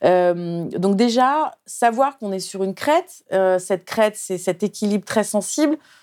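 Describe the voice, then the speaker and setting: At a fairly slow pace, a woman speaks on a very clean recording with a silent background and a dry, close sound with no echo. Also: medium pitch for a woman, lively intonation, hardly any pauses. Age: 50s. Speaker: journalist and author. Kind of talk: interview. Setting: studio. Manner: halting.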